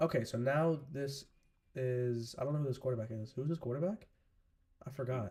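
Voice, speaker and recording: Somewhat breathy with a dark, mellow tone, this voice moves at a fairly quick pace with ordinary pitch variation and long, frequent pauses. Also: man, medium pitch for a man. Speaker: live-stream sports commentator. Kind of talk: live commentary. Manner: casual.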